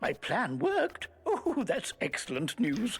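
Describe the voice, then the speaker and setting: Using a put-on character voice, the speaker has a fairly high pitch and a fairly slow pace. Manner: surprised.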